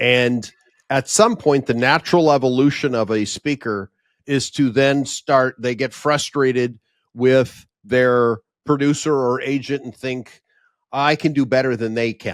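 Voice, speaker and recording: A man with a plain, everyday voice speaks at a fairly slow pace and medium pitch with fairly even intonation, the sound dry and close with no echo on a very clean recording with a silent background. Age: 60s. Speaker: event producer and professional speaker. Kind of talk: podcast interview.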